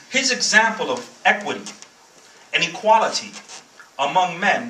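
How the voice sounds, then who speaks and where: In a Bronx accent, a man speaks in a raised, projected voice amid noticeable background noise and audible room echo. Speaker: guest speaker, former soldier. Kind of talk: speech.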